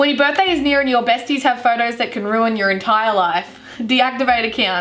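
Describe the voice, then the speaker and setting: In an Australian accent, a woman with a high pitch sounds upbeat, speaking at a fairly quick pace with ordinary pitch variation. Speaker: YouTuber. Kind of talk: casual talk to camera. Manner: upbeat, joking. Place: home room.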